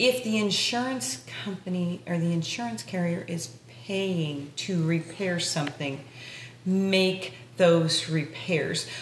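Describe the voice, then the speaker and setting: At a fairly slow pace, a woman with a fairly low voice talks with ordinary pitch variation, some audible room echo, and light background noise. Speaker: podcast co-host. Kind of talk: casual interview. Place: home room.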